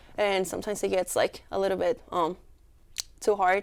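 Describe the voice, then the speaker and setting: A woman speaks at a fairly quick pace with a Mexican accent. The recording is very clean, with a silent background. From Mexico. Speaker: student club leader. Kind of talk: interview.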